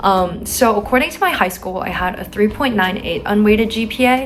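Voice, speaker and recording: The speaker has a West Coast accent. Noticeable background noise runs underneath. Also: woman. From San Francisco, California. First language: Chinese. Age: young. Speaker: college student vlogger. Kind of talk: advice vlog. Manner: casual with filler words.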